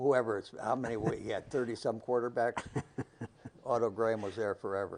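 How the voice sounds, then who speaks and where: Speaking with a Northern Ohio accent, a man moves at a fairly quick pace with fairly even intonation. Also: medium pitch for a man. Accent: Northern Ohio American English. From Brunswick, Ohio. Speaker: retired teacher and football coach. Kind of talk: oral history interview answer.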